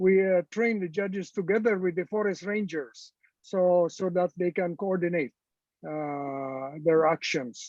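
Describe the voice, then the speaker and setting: At a fairly slow pace, a man with a Filipino accent talks at a high pitch with ordinary pitch variation. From Philippines. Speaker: retired supreme court justice. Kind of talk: panel discussion. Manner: halting, frequent hesitations.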